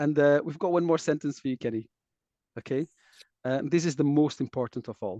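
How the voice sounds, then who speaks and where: A man with a non-native accent and a dark, mellow tone, ordinary pitch variation and long, frequent pauses. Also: fairly high pitch for a man, fairly quick pace, dry, close sound with no echo. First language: not English. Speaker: taiko dojo host interviewer. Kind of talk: casual interview.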